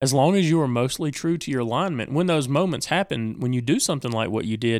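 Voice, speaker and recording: This man has an unremarkable speaking voice at medium pitch, with lively intonation. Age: 40s. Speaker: podcast co-host, tabletop gamer. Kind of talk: casual chat.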